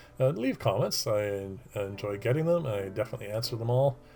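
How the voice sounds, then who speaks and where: There is music in the background. A man speaks at a moderate pace with a fairly low pitch and ordinary pitch variation. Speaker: woodworking youtuber. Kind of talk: tutorial. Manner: hesitant, many fillers.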